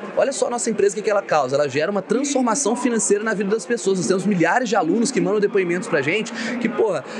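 A man talking at a very fast pace, with noticeable background noise. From Minas Gerais, Brazil (Ubá). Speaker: entrepreneur and investment specialist. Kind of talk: casual interview. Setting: live event.

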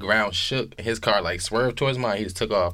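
Very fast speech with a bright, sharp tone carries fairly even intonation. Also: man. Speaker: podcaster guest. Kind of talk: casual chat. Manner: talkative.

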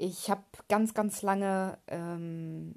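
Over a quiet background, a woman talks at a very slow pace and a fairly low pitch, her intonation fairly even. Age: 30s. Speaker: podcast host, aspiring mindset coach. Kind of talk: personal monologue, testimony. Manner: hesitant, many filler sounds.

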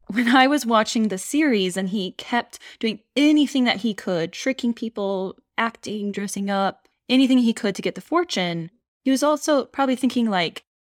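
A woman with a normal speaking voice talks at a moderate pace with ordinary pitch variation. The sound is dry and close with no echo, a very clean recording over a silent background. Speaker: podcast co-host. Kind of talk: casual chat.

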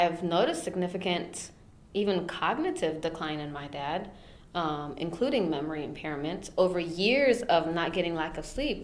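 A woman with an American accent, fairly low in pitch, at a moderate pace with ordinary pitch variation, amid noticeable background noise. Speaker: podcast co-host. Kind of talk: casual chat.

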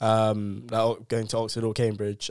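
A voice with a London accent at a moderate pace, in a very clean recording with a silent background. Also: man. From South London. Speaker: university student. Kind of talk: casual chat.

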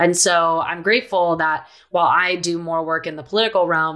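A woman with a fairly low pitch and an unremarkable speaking voice is captured in a very clean recording with a silent background. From Philadelphia, US East Coast, moved around abroad. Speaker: activist and author. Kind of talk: interview.

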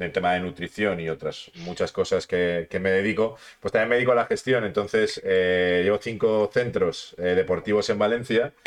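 A plain, everyday voice from a man, fairly low in pitch, at a moderate pace against a quiet background. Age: 30s. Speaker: sports and health podcast host. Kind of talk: casual interview chat.

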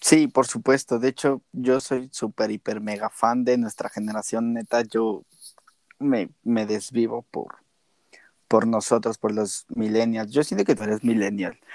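A plain, everyday voice from a man at medium pitch, fairly slow in pace, with fairly even intonation and a dry, close sound with no echo. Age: 20s. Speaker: podcast co-host. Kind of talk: casual chat. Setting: remote recording.

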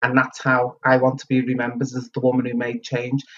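A woman is speaking. She talks in a Liverpool accent. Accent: Liverpool (Scouse). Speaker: community centre chief executive. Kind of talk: interview.

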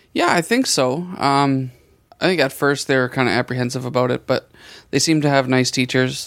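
A man at medium pitch and a fairly quick pace, very even in loudness, in a very clean recording with a silent background. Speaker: podcast host. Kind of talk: casual chat. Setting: studio.

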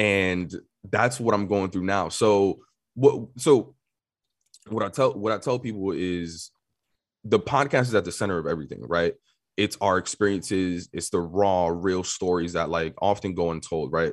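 A man with a New York accent speaks at a moderate pace in a very deep, low pitch with ordinary pitch variation. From New York City. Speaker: tech marketer and media company owner. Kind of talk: casual interview.

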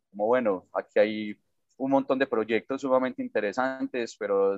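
Moderate pace and fairly even intonation from a man with an Antioquian accent. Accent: Colombian paisa Spanish. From Colombia, Medellín (paisa). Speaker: social entrepreneur. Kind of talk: interview. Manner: hesitant, with fillers and repetitions.

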